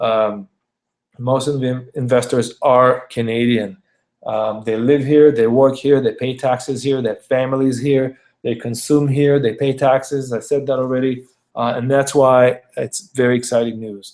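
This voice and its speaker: Monotone and flat in intonation, a man speaks at a moderate pace and a medium pitch. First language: not English. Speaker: realtor. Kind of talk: video presentation of market data. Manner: hesitant, many fillers and repetitions.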